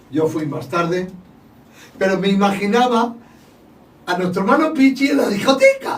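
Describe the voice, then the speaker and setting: Against noticeable background noise, a man speaks at a moderate pace in a high pitch, with very wide pitch swings and long, frequent pauses. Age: 60s. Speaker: church podcast host. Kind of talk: casual chat. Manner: raising voice.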